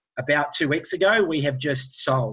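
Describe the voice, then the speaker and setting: A man talks with a New Zealand accent. The background is quiet. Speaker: entrepreneur. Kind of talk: webinar presentation.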